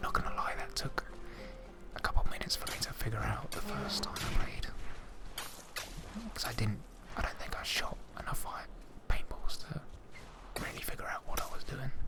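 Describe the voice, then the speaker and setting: A man whispering in a calm tone at a fairly quick pace, with long, frequent pauses and noticeable background noise. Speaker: ASMR gamer, video game streamer. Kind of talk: ASMR gameplay commentary. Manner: whispered, calm, soft-spoken.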